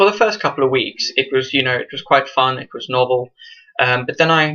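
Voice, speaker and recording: A man talks with a bright, sharp tone. His pitch sits fairly high. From South Africa, rural town; moved to England at 12. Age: 20s. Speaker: student vlogger. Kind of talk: casual vlog monologue. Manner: hesitant, many fillers.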